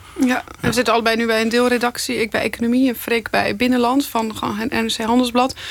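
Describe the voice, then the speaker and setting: Moderate-paced speech from a woman, with noticeable background noise behind it. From Netherlands, Zeeland. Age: 30s. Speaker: investigative journalist. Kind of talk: interview.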